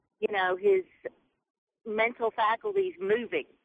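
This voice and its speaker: With a Southern US accent, a woman speaks at a fairly high pitch with lively intonation. Her pace is fairly slow. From Mississippi. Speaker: caller. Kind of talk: call-in radio comment. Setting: phone call.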